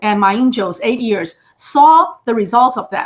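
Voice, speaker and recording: A woman speaks at a fairly high pitch with lively intonation. Her voice is somewhat breathy. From Taiwan. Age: 60s. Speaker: political commentator. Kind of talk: interview.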